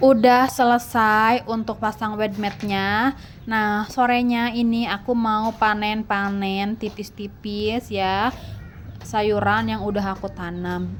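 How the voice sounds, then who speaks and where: Very slow, flat, monotone delivery from a woman with a fairly high pitch. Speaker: gardening vlogger, housewife. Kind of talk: casual vlog narration.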